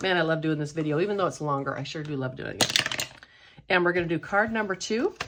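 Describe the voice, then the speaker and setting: Her pitch is very deep and low, with ordinary variation. The woman speaks at a fairly quick pace in an upbeat tone. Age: 60s. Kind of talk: casual talk to camera. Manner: upbeat, chatty.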